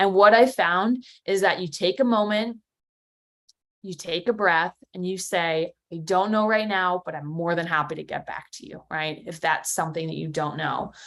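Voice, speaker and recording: Energetic and fairly low-pitched, a woman with an American accent talks with big swings in loudness. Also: ordinary pitch variation. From New Jersey. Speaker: competitive intelligence leader. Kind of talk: conference talk. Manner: fast.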